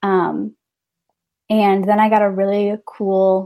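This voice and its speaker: Here a woman speaks with an American accent. Her pitch is medium. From rural northern Illinois. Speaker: ministry event manager. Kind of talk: casual interview chat. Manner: hesitant, many fillers.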